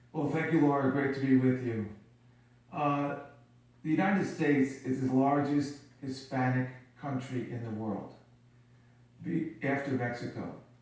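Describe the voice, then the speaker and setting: A man's somewhat breathy voice sits at a fairly high pitch and moves at a moderate pace, with long, frequent pauses. Room echo is audible. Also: fairly even intonation. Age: 60s. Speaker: company CEO. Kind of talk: TV interview.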